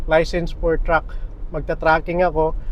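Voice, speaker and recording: Speaking at a fairly quick pace in a monotone, flat intonation, a man is heard with audible room echo and noticeable background noise. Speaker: vlogger. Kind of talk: casual vlog talk. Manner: halting. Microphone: small clip-on mic, camera far away.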